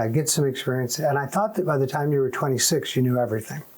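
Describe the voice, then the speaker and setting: Over noticeable background noise, a man talks at a very fast pace and a medium pitch with ordinary pitch variation. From US, moved often (Michigan, Massachusetts, California). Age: 60s. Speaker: Air Force veteran. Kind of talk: oral history interview. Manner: casual, with frequent fillers.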